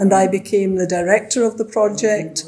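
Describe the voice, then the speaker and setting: At a moderate pace, a woman talks with a Glasgow accent over noticeable background noise. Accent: Scottish (Glasgow). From Scotland, Glasgow. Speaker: retired teacher and former city councillor. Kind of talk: interview.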